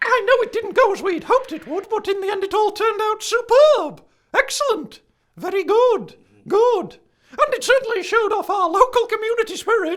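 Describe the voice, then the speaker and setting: In a put-on character voice, a man speaks at a moderate pace with a squeaky, extremely high pitch. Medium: audio drama. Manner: prim, pedantic, flustered.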